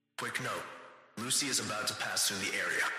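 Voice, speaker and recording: With a strong echo around him, a man puts on a character voice at a medium pitch. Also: fairly quick pace. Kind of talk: PA announcement. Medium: solo performance. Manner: formal, clipped.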